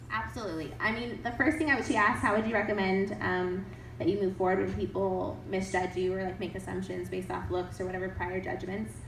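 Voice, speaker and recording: Amid noticeable background noise and audible room echo, a woman speaks at a very fast pace with hardly any pauses. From grew up in several countries. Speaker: writer and PhD student, summit speaker. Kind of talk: audience Q&A at a talk. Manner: animated.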